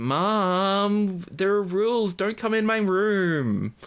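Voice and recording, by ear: A man puts on a nasal character voice with an American accent, pitched high. He speaks at a very slow pace.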